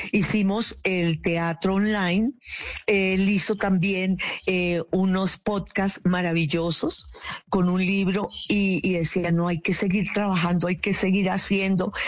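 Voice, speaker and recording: A woman at a very slow pace, with fairly even intonation and very even loudness, over noticeable background noise. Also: medium pitch for a woman. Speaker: guest. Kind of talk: radio interview.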